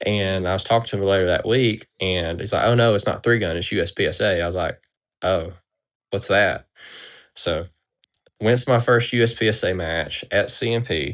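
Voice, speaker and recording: A man with a fairly low pitch speaks with long, frequent pauses. The background is quiet. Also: ordinary pitch variation. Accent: Southern US. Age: 30s. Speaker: competitive pistol shooter. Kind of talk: interview. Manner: mumbling.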